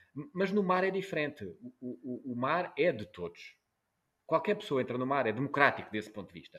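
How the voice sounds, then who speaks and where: At a moderate pace, a man with a fairly high voice swings very widely in pitch and makes big jumps in loudness. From Portugal, Algarve. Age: 40s. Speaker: journalist. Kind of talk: interview. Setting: video call. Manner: halting, many repetitions.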